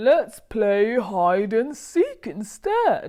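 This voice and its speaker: Put-on character voice from a woman, fairly high-pitched with lively intonation. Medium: read story. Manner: gentle, kindly.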